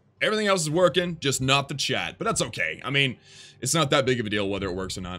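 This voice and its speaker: In an American accent, the voice races at a very fast pace in an animated tone, bright and sharp, with vocal fry and very wide pitch swings. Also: man, medium pitch for a man. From Texas. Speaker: gaming streamer. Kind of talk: live stream commentary reading chat. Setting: live stream. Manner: casual, animated.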